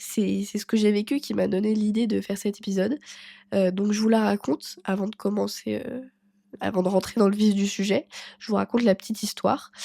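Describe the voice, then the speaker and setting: Very clean recording of a woman, silent background, with dry, close sound and no echo, a dark, mellow tone, medium pitch, fairly even intonation and a fairly quick pace. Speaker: personal development podcaster. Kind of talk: casual podcast monologue. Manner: hesitant, many fillers.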